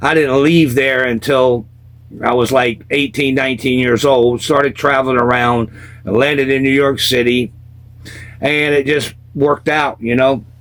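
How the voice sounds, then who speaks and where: The voice carries a Southern accent. Its intonation is monotone and flat. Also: man, medium pitch for a man, moderate pace, very even loudness. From US South, South Carolina. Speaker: former punk rocker telling life stories. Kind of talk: casual storytelling interview.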